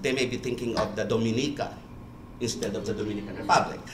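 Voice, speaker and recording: Light background noise and audible room echo accompany a man's speech. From Philippines. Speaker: church official in international affairs. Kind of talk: panel remarks. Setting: conference room with audience. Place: meeting room.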